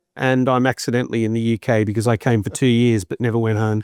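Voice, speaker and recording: A man talks very fast at a medium pitch, with ordinary rises and falls in his voice. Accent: Australian. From Australia, Sydney. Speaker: business executive. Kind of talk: interview.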